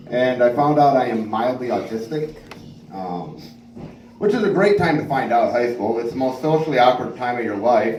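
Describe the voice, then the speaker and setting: A man is speaking. Room echo is audible, and background noise is noticeable. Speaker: stand-up comedian. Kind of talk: stand-up.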